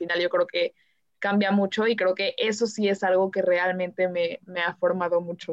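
A woman's voice holds a medium pitch. It stays flat and monotone throughout. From Mexico City. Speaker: architecture student. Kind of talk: panel discussion. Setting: remote recording from home.

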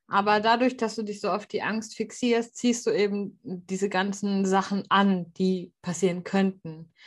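Against a quiet background, a woman with a somewhat breathy, medium-pitched voice speaks at a fairly slow pace with fairly even intonation. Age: 30s. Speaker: podcast host. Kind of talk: casual chat.

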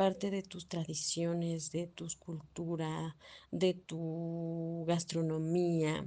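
Speaking at a very slow pace, a woman with a Mexican accent has a fairly low pitch and a dark, mellow tone. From Guanajuato, Mexico. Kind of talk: recorded testimony.

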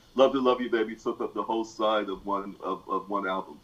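A man at a medium pitch and a moderate pace. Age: 50s. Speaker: music enthusiast. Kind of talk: casual chat. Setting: video call. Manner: halting.

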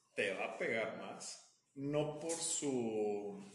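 A man with a Mexican accent speaks very slowly at a fairly high pitch with lively intonation, amid audible room echo. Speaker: podcast co-host. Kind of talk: casual chat.

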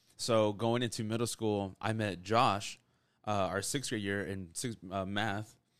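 A man talks in an unremarkable speaking voice at a fairly low pitch and moderate pace. The intonation is fairly even, on a very clean recording with a silent background. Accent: American. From Texas, Rio Grande Valley. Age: 20s. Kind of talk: closing prayer; casual chat, faith testimony.

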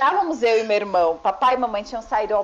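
Over noticeable background noise, a woman with a fairly high pitch speaks at a fairly quick pace with lively intonation. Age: 30s. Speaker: podcast guest. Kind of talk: casual chat.

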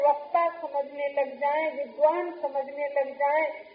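A woman talks with monotone, flat intonation. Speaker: spiritual teacher. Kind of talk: sermon. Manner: slow.

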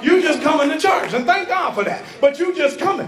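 A man's animated tone amid noticeable background noise. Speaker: preacher. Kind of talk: sermon, preacher in full flow, rallying a live congregation with call-and-response. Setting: church with congregation. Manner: animated, loud, fervent, exhorting the crowd with shouted refrains.

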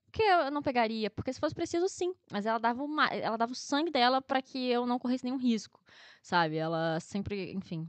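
A woman speaks at a fairly quick pace in a high voice. Her pitch swings very widely. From Rio de Janeiro, Brazil (Guadalupe). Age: 20s. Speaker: agronomy student. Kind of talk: casual interview.

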